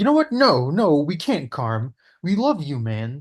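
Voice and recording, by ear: Putting on a character voice, a man speaks at a fairly slow pace with a fairly high pitch and very wide pitch swings.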